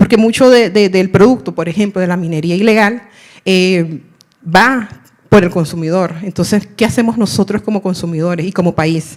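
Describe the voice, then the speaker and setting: The woman talks moderately fast in a medium pitch, her pitch varying in an ordinary way. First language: Miskito (speaking Spanish). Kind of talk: audience question at panel. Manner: halting, many fillers.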